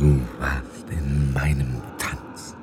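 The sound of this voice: A man uses a put-on character voice, extremely low-pitched with little pitch movement and a slightly mellow tone. He goes at a very slow pace over faint background noise.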